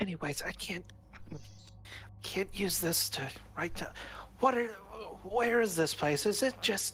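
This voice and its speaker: In a put-on character voice at a middle pitch, the speaker moves at a moderate pace with long, frequent pauses over clear background noise. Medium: actual play. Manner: wary, clipped.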